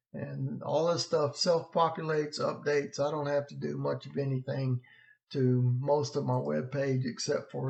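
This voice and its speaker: A man with a normal speaking voice, fairly high pitch and a fairly slow pace. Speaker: weather blogger. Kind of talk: weather vlog walkthrough. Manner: casual, conversational.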